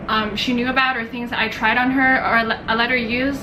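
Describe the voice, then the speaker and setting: Amid audible room echo and noticeable background noise, a woman speaks in a high, monotone, flat voice. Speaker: beauty vlogger. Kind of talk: haul video monologue. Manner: rambling, halting.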